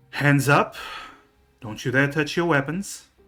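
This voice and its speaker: A man puts on a husky character voice, fairly high in pitch. He speaks at a fairly slow pace. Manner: commanding, threatening.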